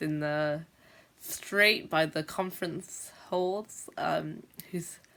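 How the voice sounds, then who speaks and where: In a very clean recording with a silent background, a woman speaks at a very deep, low pitch with monotone, flat intonation. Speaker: teacher who stammers, video blogger. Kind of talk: vlog monologue. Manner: stammers.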